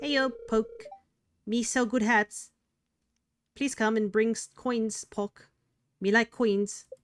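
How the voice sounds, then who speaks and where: A female-sounding voice puts on a squeaky character voice, pitched fairly high. She talks at a very slow pace with long, frequent pauses. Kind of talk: broken simple speech.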